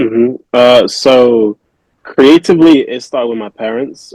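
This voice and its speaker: The sound is close and dry, with no echo at all. A man speaks very slowly. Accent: Manchester. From England, Manchester. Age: 20s. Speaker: custom sneaker artist. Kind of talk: podcast interview. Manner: hesitant, many fillers.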